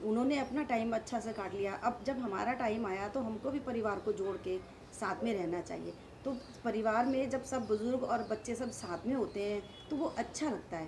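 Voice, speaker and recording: Noticeable background noise accompanies a woman speaking at a fairly high pitch with ordinary pitch variation. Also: moderate pace. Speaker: daughter-in-law of interviewee. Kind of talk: interview answer.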